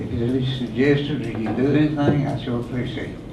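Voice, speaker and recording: Very fast American-accented male speech, monotone and flat, with audible room echo and noticeable background noise. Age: 80s+. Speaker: rescue squad volunteer. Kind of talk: public comment at a meeting. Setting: county board meeting.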